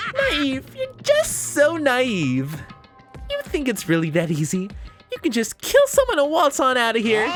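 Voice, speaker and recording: A put-on character voice, high-pitched, at a moderate pace over clear background music. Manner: mocking, devilish.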